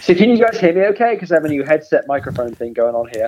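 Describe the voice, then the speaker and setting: Talking at a very fast pace, a man with a British accent uses a fairly high pitch and very wide pitch swings amid noticeable background noise. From England. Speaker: podcast guest, fellow podcaster. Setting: phone call with headset microphone.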